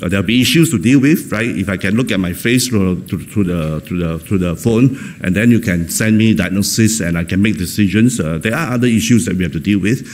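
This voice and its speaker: A man's fairly low-pitched voice with ordinary pitch variation at a very fast pace, amid noticeable background noise and audible room echo. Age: 60s. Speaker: professor of psychology. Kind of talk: keynote lecture. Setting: conference stage with audience. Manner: hesitant, many fillers and repetitions.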